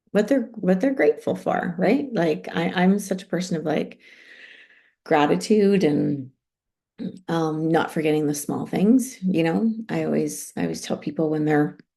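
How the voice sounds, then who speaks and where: This voice has a Canadian accent, a dark, mellow tone, and vocal fry. It moves at a moderate pace with lively intonation. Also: woman, fairly low pitch for a woman. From Canada. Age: 40s. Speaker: online group coach. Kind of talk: live stream chat. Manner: casual, chatty.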